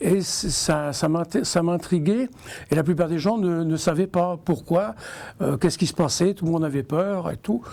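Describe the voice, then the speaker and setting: This man has a high voice. He talks at a fairly slow pace. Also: ordinary pitch variation. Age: 60s. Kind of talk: testimony. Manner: halting.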